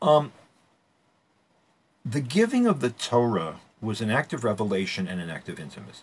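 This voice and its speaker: A man with a somewhat breathy, medium-pitched voice speaks with very wide pitch swings, big swings in loudness, and long, frequent pauses. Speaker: Torah teacher. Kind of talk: lecture. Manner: fast; halting.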